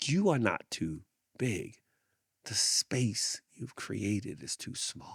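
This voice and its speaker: A man speaks very slowly at a medium pitch, his voice swinging very widely with vocal fry. The recording is very clean, with a silent background. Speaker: podcast host. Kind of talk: reflective monologue. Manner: repetitive, emphatic; slow, with deliberate pauses.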